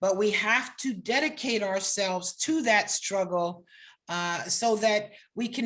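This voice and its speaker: Against a quiet background, a woman with an unremarkable speaking voice speaks at a fairly slow pace with lively intonation. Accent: American. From New York / New Jersey area. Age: 60s. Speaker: law professor. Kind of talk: lecture.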